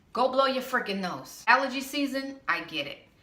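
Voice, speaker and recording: A woman speaks fairly slowly with lively intonation and an animated tone. Room echo is audible, along with noticeable background noise. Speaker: vlogger. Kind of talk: casual vlog rant.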